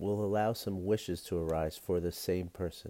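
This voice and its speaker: At a fairly slow pace, the voice carries a calm, gentle, dark and mellow tone with fairly even intonation, in a very clean recording with a silent background. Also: man. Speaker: podcast host and meditation guide. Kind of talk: guided meditation. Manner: calm, gentle, slow-paced, instructive; warm, friendly, with filler words.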